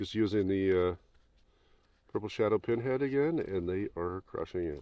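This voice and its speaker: With an ordinary speaking voice, a man talks at a moderate pace in a fairly low pitch, his intonation lively. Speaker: fishing video host. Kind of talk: casual outdoor vlog chat. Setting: outdoors on the ice.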